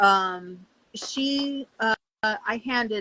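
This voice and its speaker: Bright and sharp in tone, a woman's fairly high-pitched voice comes through dry and close with no echo. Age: 60s. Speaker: soap maker, small business owner. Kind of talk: casual chat. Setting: live stream.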